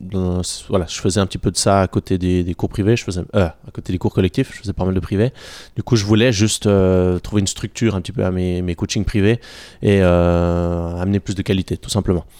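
In a dark, mellow tone and a very deep, low pitch, a man speaks at a fairly quick pace with fairly even intonation, the sound dry and close with no echo on a very clean recording with a silent background. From Switzerland, canton of Vaud. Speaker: gym founder and coach. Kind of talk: interview. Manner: halting, many hesitations.

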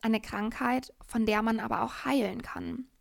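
On a very clean recording with a silent background, a woman with an ordinary speaking voice talks at a moderate pace in a fairly high pitch with fairly even intonation. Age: 20s. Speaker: podcast host, yoga teacher and coach. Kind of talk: personal monologue.

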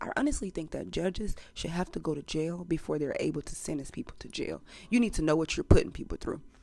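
A woman talks at a very fast pace in an animated tone, her fairly low pitch touched with vocal fry. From US South, Montgomery, Alabama. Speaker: podcast host. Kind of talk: casual monologue.

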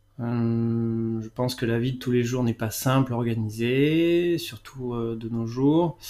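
Using a dark, mellow tone at medium pitch, a man speaks at a very slow pace with fairly even intonation and hardly any pauses. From France, Bordeaux region. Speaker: gardener. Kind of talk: interview. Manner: halting.

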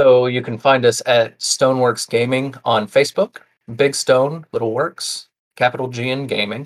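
A man speaks at medium pitch and a moderate pace in a plain, everyday voice. The intonation is fairly even, and the sound is dry and close with no echo. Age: 30s. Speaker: tabletop game designer. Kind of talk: casual chat.

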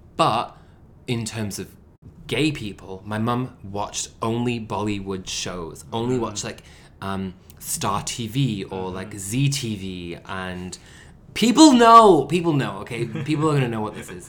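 A man with a Manchester accent speaks at a fairly slow pace in an animated tone, his medium pitch showing ordinary variation while his loudness swings widely. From Manchester, England. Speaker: podcast co-host. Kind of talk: casual chat.

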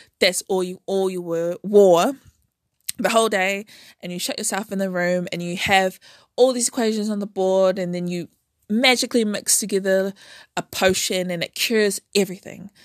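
Here a woman speaks at a moderate pace with a New Zealand accent and fairly even intonation. The sound is dry and close with no echo, in a very clean recording over a silent background. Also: medium pitch for a woman, big swings in loudness. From New Zealand, Auckland. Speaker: podcast host, scientist. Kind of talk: casual monologue. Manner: halting.

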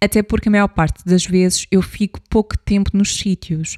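In a dry, close recording with no echo, a woman with a dark, mellow tone and medium pitch speaks at a moderate pace. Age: 30s. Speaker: podcast host, psychologist and travel blogger. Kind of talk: solo travel storytelling podcast.

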